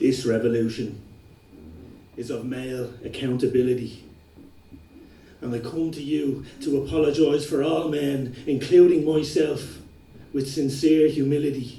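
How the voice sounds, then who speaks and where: A man with fairly even intonation and long, frequent pauses. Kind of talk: slam poetry performance.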